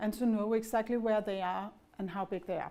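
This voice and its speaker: This woman has a Danish accent and a fairly high pitch. Her tone is dark and mellow. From Denmark. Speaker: pharma executive. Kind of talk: business presentation.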